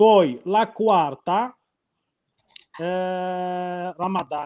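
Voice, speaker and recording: This man's voice has a dark, mellow tone. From Morocco. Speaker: logistics worker. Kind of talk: interview.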